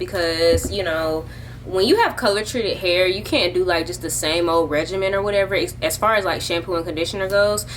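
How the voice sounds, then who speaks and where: In a recording with audible room echo and noticeable background noise, a woman speaks at a medium pitch and a fairly quick pace. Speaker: lifestyle vlogger. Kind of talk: casual vlog chat. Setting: at home, dad talking in background. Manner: loud.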